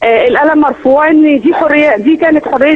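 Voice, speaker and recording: A woman with a strong Egyptian accent speaks in a high pitch with ordinary pitch variation. Her pace is moderate, and there is noticeable background noise. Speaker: eyewitness caller at a protest march. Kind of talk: phone interview.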